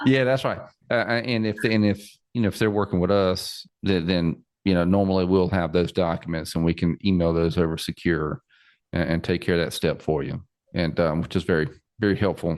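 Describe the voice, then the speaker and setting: A man with a very deep, low pitch and a Southern US accent, fairly quick pace, ordinary pitch variation, quiet background. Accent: Southern twang. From South Carolina. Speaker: financial planner podcast host. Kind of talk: interview podcast. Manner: repetitive, stammering.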